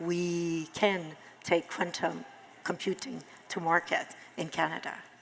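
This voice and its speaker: A woman's fairly low voice in a Quebec accent, with fairly even intonation. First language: French. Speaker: tech business executive. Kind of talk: panel discussion. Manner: slow.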